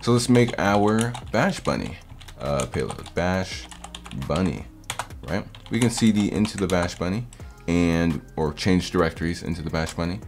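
A man at a moderate pace, with faint music in the background. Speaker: hacking tutorial host. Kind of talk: tutorial. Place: home room.

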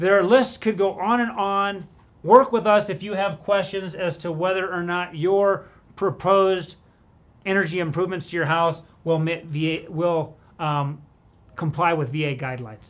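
A man with a high pitch talks at a fairly slow pace. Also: ordinary pitch variation. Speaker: presenter. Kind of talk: tutorial. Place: office.

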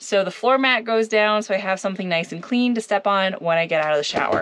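The speaker is a woman. She talks at a very fast pace. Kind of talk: tutorial. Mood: friendly, upbeat. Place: bathroom. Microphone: phone near.

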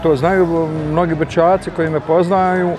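Noticeable background noise sits behind a man whose high pitch moves with fairly even intonation. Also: dry sound with no echo. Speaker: former DJ. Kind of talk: interview answer. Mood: nostalgic, relaxed. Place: street. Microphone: lapel.

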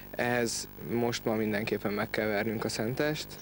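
Over light background noise, a man with an ordinary speaking voice talks at a fairly quick pace in a medium pitch, his intonation fairly even and the sound dry with no echo. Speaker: rugby player-coach. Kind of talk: interview. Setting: outdoors. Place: open country. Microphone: handheld.

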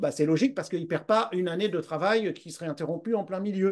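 At a very fast pace, a man talks in a high pitch with ordinary pitch variation and big swings in loudness. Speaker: Brain Gym instructor. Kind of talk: interview questions.

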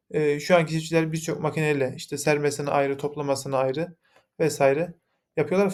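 A man with a fairly high pitch talks fairly quickly, keeping his intonation fairly even. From Yozgat, Turkey. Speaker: mechanical engineer, company founder. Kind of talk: investor pitch presentation. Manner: formal, with frequent filler hesitations.

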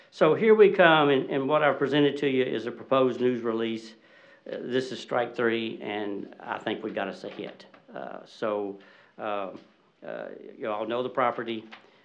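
A man with a Southern US accent talks at a fairly slow pace and medium pitch with ordinary pitch variation. His loudness swings widely over light background noise. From Arkansas. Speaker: home builder; public commenter at meeting. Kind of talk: public comment. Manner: halting. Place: hall. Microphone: podium.

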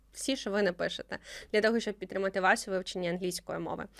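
Medium pitch from a female speaker, the recording very clean and the background silent. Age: 20s. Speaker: podcast host. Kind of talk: casual interview.

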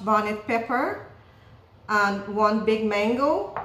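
A woman speaks very slowly in a flat monotone, with audible echo in the room. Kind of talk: cooking tutorial. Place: kitchen. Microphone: camera far.

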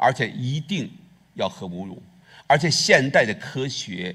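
There is vocal fry as a man speaks at a fairly slow pace over a quiet background. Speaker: pastor. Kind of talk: sermon. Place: church. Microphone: headset.

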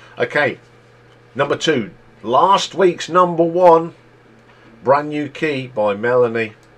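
Speaking with an East Midlands accent, a man uses a fairly high pitch and lively intonation. His pace is very slow, with long, frequent pauses. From England, East Midlands (near Leicester). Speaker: YouTube music chart host. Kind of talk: solo music countdown commentary. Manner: casual, conversational. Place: home room. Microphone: webcam.

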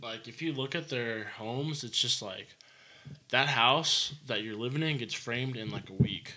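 A man with an American accent, fairly slow, bright and sharp in tone, with ordinary pitch variation. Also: big swings in loudness. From Arizona, Prescott Valley; Arizona. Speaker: home builder; podcast guest, contractor. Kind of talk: casual chat. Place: studio. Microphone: studio mic.

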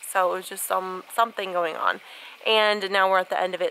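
A woman talks at a very fast pace. Light background noise sits behind her. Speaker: stay-at-home mom vlogger. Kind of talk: casual talk to camera. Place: garden. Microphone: phone near.

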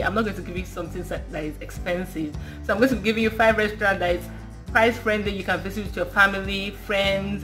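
The speaker talks at a fairly quick pace over faint background music. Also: woman. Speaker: vlogger. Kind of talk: casual vlog chat. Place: home room. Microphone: phone near.

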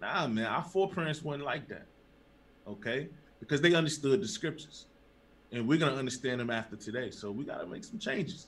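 A fairly high, somewhat breathy male voice at a very fast pace with lively intonation. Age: young. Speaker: religious teacher. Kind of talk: sermon. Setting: livestream. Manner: animated. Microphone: webcam.

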